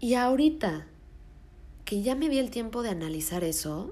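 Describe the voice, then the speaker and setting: In audible room echo, a somewhat breathy woman talks fairly slowly with lively intonation. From Mexico City. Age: 20s. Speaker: podcast host. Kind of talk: solo podcast monologue.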